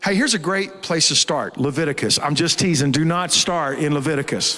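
A fairly quick pace over a quiet background. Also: man. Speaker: pastor. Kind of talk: sermon. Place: stage. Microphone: handheld.

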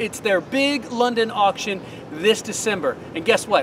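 A man's raised, projected voice, upbeat in tone with lively intonation, at a moderate pace over noticeable background noise. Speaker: auctioneer and TV presenter. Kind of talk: promotional announcement to camera. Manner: upbeat, dynamic. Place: garden.

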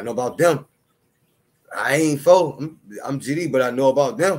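A man speaks with ordinary pitch variation. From Chicago. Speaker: battle rap commentator. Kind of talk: casual solo commentary. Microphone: studio mic.

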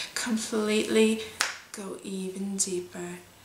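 Over noticeable background noise, a woman talks at a medium pitch with fairly even intonation. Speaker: hypnotist. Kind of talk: hypnosis induction. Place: home room.

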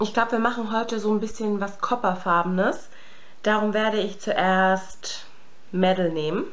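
The woman talks at a moderate pace with fairly even intonation. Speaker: beauty vlogger. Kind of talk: makeup tutorial chat. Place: home room. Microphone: phone near.

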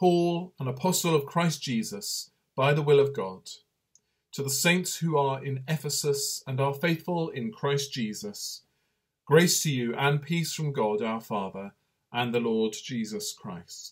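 The man's voice sits fairly high and is somewhat breathy. Behind him the background is quiet. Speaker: priest leading online night prayer. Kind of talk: fervent prayer; liturgical prayer and short reflection. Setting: online video broadcast during lockdown. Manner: earnest, fervent, intoning psalm in devout tone; slow, calm, reverent. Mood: calm, reverent. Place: home room. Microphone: webcam.

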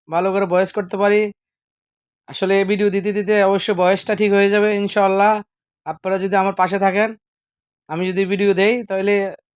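On a very clean recording with a silent background, a high-pitched man speaks in a monotone, flat way at very even loudness. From Bangladesh. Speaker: cook and video blogger. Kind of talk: cooking tutorial. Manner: halting.

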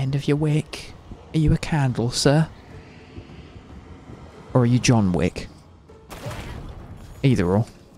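Over noticeable background noise, a man with a British accent talks fairly slowly at a medium pitch, with long, frequent pauses. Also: lively intonation. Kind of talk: casual gaming commentary. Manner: soft-spoken, relaxed.

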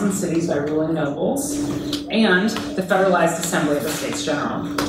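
A woman at a very fast pace amid noticeable background noise and audible room echo. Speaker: guest lecturer. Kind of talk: lecture. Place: classroom. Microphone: camera far.

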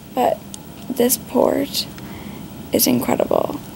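A soft-spoken woman talks at a very slow pace. Noticeable background noise sits behind her. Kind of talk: casual vlog chat. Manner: weak, drowsy, soft patient voice.

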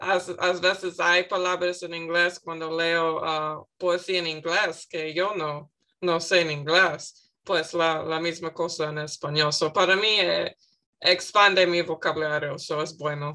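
A woman with an English accent, her fairly low voice bright and sharp in tone, flat and monotone at a very slow pace against a quiet background. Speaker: student. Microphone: video call.

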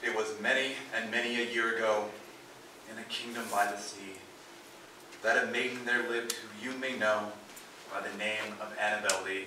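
Talking at a fairly quick pace with long, frequent pauses, a man speaks in a flat monotone at medium pitch, with noticeable background noise and audible room echo. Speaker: performer. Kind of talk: dramatic poetry reading. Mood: mournful, dramatic. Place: stage.

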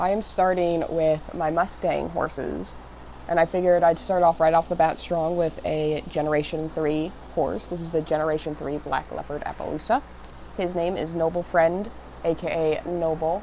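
Amid noticeable background noise, a woman with a fairly low pitch speaks at a moderate pace in a monotone, flat intonation. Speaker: digital artist and content creator. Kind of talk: voiceover narration of a drawing video. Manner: casual, slightly halting with fillers.

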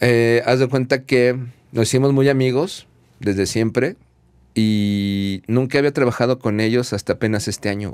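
A man speaks at a medium pitch and a moderate pace. The background is quiet. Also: ordinary pitch variation. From Mexico City. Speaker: audio engineer; guest. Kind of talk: casual chat. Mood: relaxed, casual slang. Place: studio. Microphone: studio mic.

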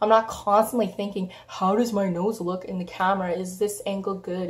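At a moderate pace, a woman speaks in a medium pitch, somewhat breathy, with fairly even intonation. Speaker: beauty vlogger. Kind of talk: casual vlog to camera.

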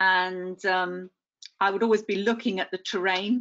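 A woman with an unremarkable speaking voice talks at a fairly slow pace. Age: 60s. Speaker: amputee, retired teacher. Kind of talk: personal testimony. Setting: online webinar.

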